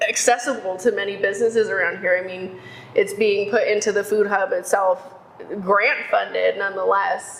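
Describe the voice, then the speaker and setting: Over noticeable background noise, a woman with an American accent speaks with fairly even intonation. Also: medium pitch for a woman, moderate pace. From Texas, Houston. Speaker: economic development worker. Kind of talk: casual interview chat. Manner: loud.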